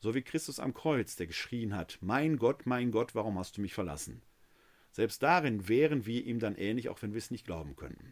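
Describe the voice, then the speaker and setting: A man at medium pitch keeps a moderate pace in an unremarkable speaking voice. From Ruhr area, Germany (Essen). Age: 50s. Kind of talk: theology lecture. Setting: live webinar.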